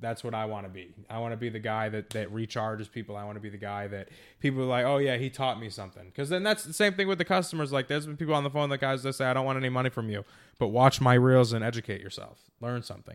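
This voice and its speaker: At a very fast pace, a man speaks at a medium pitch in a very clean recording with a silent background. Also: ordinary pitch variation, big swings in loudness. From Massachusetts. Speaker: digital marketing company founder. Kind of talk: casual interview.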